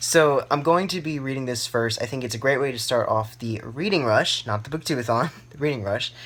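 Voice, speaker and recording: Speech runs at a fairly quick pace with hardly any pauses and ordinary pitch variation. Noticeable background noise sits under the voice. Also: man. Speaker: book vlogger. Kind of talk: casual vlog monologue. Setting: in bed at home. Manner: rambling with many fillers and restarts.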